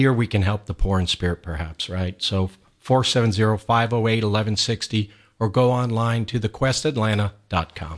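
Against a quiet background, a man with a normal speaking voice and fairly low pitch talks at a moderate pace with ordinary pitch variation. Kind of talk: radio interview. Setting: radio studio.

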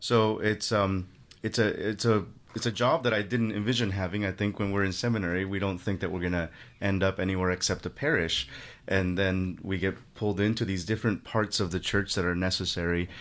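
This man has an unremarkable speaking voice, fairly low in pitch, with fairly even intonation and a fairly quick pace against a quiet background. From Mexico (Guerrero), raised in Los Angeles. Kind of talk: radio interview.

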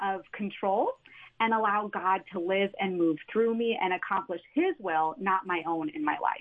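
A woman talks in a passionate tone. Her pace is fairly slow. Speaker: stay-at-home mother and ministry worker. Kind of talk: testimony. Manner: joyful, passionate.

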